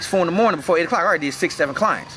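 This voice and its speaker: Noticeable background noise runs under this recording. A man speaks in a high voice. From North Carolina, Winston-Salem. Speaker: personal trainer and gym owner. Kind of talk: casual interview. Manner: casual, relaxed.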